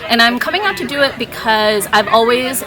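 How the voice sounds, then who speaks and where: A woman speaks with ordinary pitch variation over noticeable background noise, and audible room echo surrounds her voice. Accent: American. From Minnesota, Saint Paul. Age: 20s. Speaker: reality game contestant. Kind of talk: confessional interview. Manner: casual, hesitant with fillers.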